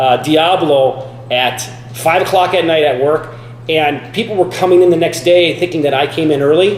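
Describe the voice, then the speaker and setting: The speech moves at a moderate pace with ordinary pitch variation. Audible room echo and noticeable background noise are present. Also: man. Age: 40s. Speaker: fitness vlogger. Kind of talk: casual vlog talk. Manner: casual, halting with many fillers.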